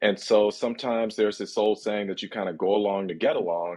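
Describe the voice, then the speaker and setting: A man's ordinary speaking voice, fairly low in pitch, with fairly even intonation at a fairly quick pace. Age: 50s. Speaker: sports journalist. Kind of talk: interview discussion.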